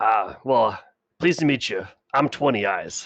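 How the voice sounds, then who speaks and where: A man puts on a gruff character voice. He talks at a moderate pace with a medium pitch. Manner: welcoming.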